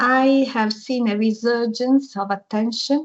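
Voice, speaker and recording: The voice belongs to a woman. It sounds somewhat breathy. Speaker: university language researcher. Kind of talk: academic seminar talk.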